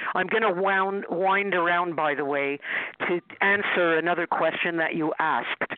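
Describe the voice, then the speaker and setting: Delivered at a moderate pace with very even loudness and fairly even intonation, the voice sits over noticeable background noise. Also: woman, fairly low pitch for a woman. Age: 60s. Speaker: dream analyst and author. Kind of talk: interview, casual conversation.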